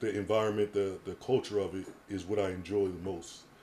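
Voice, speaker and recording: Very deep and low in pitch, a man's somewhat breathy voice has a dark, mellow tone and fairly even intonation. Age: 30s. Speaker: podcaster and wheelchair user. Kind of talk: casual chat.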